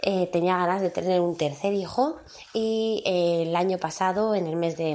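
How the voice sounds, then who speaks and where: Very slow speech from a woman with a fairly low pitch and ordinary pitch variation. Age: 30s. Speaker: podcast host. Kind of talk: casual monologue. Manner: hesitant, many fillers.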